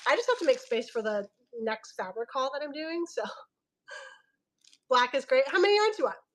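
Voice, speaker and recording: Loud and animated, a woman speaks at a high pitch with very wide pitch swings and long, frequent pauses. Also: fairly quick pace. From Filipino heritage. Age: 30s. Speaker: online fabric seller. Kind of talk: live sales stream.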